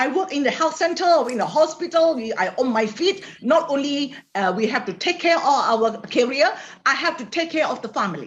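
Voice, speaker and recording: With very wide pitch swings, a woman talks at a fairly quick pace in a high voice. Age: 60s. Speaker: health product distributor. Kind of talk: interview via interpreter. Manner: halting.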